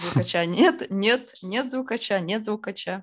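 Fairly slow delivery in an unremarkable speaking voice, with ordinary pitch variation. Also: woman. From Izhevsk, Udmurtia, Russia. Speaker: music label founder and festival organizer. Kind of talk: casual interview.

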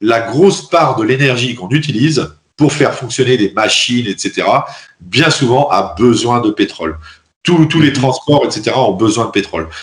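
The voice moves at a fairly slow pace with lively intonation. Vocal fry runs through it. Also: man, medium pitch for a man. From France. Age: 30s. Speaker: engineer and Bitcoin advocate. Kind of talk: interview. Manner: hesitant, many fillers.

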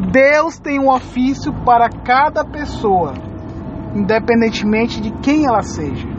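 Over noticeable background noise, a woman speaks with a solemn tone at a fairly slow pace. Her voice is high-pitched. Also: ordinary pitch variation. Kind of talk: sermon. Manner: earnest, pleading, pastoral appeal to the listener; solemn, moving into prayer at the close.

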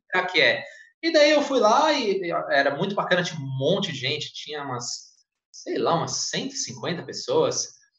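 A man with a high pitch and very wide pitch swings speaks amid audible room echo. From Brazil, São Paulo state (Santa Isabel). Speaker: flight attendant and former English teacher. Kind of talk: casual interview on a livestream.

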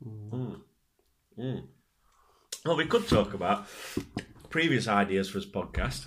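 With a British accent and vocal fry, a man speaks at a fairly slow pace with long, frequent pauses, his fairly low pitch swinging very widely. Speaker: podcast co-host. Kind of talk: casual chat. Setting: home studio, drinking wine.

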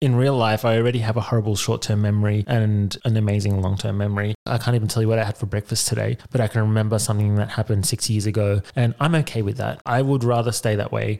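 Fairly low in pitch, a man speaks very fast with hardly any pauses. His intonation is fairly even and his loudness very even. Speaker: podcast host. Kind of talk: casual chat.

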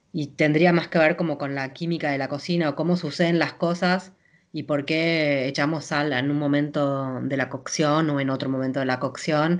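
Speaking at a moderate pace, a woman uses a very deep, low voice with fairly even intonation. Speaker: chef. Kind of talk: interview.

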